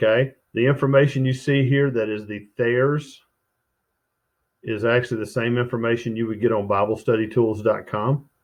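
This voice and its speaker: A man of medium pitch with an ordinary speaking voice, at a moderate pace. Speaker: Bible study teacher. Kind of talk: tutorial.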